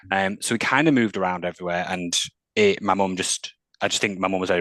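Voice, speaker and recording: A man with a Mancunian accent talks very fast in a very deep, low voice. His intonation stays fairly even, and the sound is dry and close with no echo. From northern England, Manchester. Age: 30s. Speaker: mental health employment specialist. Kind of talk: interview.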